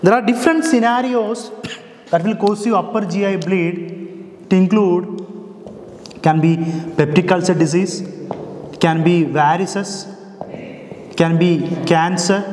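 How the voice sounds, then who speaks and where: A man at a moderate pace with ordinary pitch variation and long, frequent pauses, plus light background noise and audible room echo. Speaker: medical teacher. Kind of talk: lecture. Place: classroom.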